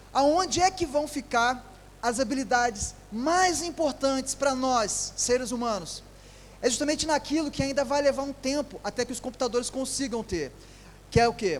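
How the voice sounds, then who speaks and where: A man at an extremely high pitch, with ordinary pitch variation. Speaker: engineer and company founder giving a talk. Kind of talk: lecture. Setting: stage with audience at a trade fair. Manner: fast.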